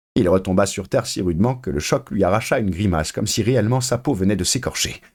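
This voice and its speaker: Very quick, fairly low male speech with ordinary variation in pitch. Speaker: voice actor. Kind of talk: novel narration.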